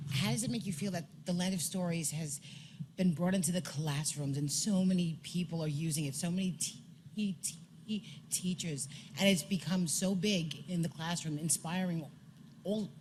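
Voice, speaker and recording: A woman's somewhat breathy, fairly low voice at a moderate pace, with ordinary pitch variation and audible room echo. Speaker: audience member asking a question. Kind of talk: audience question. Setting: stage with audience.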